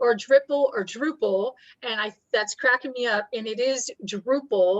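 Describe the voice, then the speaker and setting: A woman with a high pitch at a moderate pace. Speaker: workshop presenter. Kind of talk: webinar presentation.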